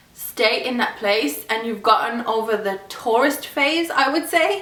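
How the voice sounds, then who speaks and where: With an English accent, a woman speaks fairly slowly at a fairly high pitch, her voice swinging very widely up and down, amid audible room echo and noticeable background noise. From England, Birmingham. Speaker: YouTuber. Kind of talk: casual vlog talk. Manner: casual, filler-heavy.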